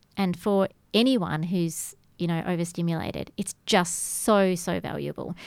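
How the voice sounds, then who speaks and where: A woman with an Australian accent speaks at a fairly slow pace. Her voice sits fairly low. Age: 50s. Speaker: yoga instructor. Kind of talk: radio interview. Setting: radio studio.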